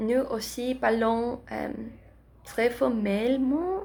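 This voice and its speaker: A woman speaks at a very slow pace. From Philadelphia, US. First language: Spanish (speaking French). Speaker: language student vlogger. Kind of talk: casual vlog. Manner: halting, many hesitations.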